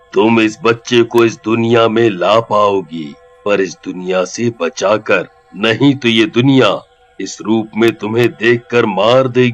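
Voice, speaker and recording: Over faint music in the background, a man puts on a character voice at a medium pitch and a fairly slow pace. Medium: audio drama. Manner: calm, fatherly.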